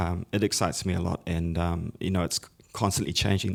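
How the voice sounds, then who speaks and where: The speaker has an American accent and fairly even intonation. The pace is moderate on a very clean recording with a silent background. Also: man. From New Zealand (Pacific New Zealander). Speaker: music education entrepreneur and guitarist. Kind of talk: conference panel discussion.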